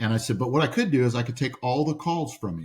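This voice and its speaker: Somewhat breathy and animated, a man speaks at a medium pitch with ordinary pitch variation. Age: 60s. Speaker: entrepreneur. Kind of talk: podcast interview storytelling. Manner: animated, repeats words often.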